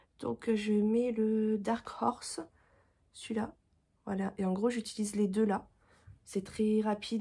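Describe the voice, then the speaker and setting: A woman's fairly high, somewhat breathy voice at a fairly slow pace with monotone, flat intonation. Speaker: vlogger. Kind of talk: casual vlog talk. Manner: halting, many fillers.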